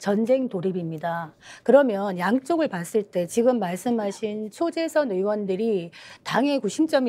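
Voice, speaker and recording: The tone is dark and mellow. A woman delivers her words at a fairly slow pace. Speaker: panel host. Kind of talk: political panel discussion. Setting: studio, live broadcast. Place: studio. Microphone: lapel.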